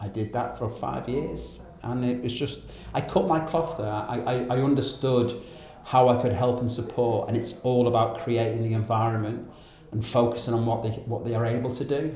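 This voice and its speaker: A man's medium-pitched voice at a moderate pace, with fairly even intonation, audible room echo and noticeable background noise. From northern England (Wigan, near Liverpool). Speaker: charity founder, ex-Navy. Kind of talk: interview.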